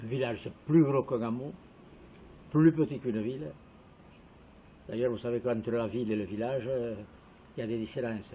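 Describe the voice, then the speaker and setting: At a moderate pace and medium pitch, a man talks in a dark, mellow, somewhat breathy tone with ordinary pitch variation. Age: 80s+. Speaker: village resident interviewee. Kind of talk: interview testimony.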